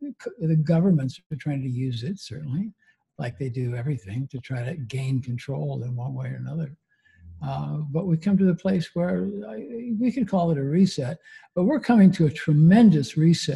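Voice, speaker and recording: With lively intonation and a somewhat breathy, dark, mellow tone, a man speaks at a fairly high pitch and a moderate pace. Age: 80s+. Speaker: spiritual healer, clinical psychologist. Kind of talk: interview answer.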